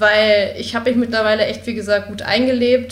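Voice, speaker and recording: A woman speaks with vocal fry at a fairly high pitch. Audible room echo is present. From Berlin. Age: 20s. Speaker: university student. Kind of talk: casual interview.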